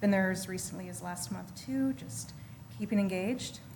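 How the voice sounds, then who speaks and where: With lively intonation and a somewhat breathy tone, a woman speaks amid audible room echo. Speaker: community organization representative. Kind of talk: presentation to council. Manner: fast.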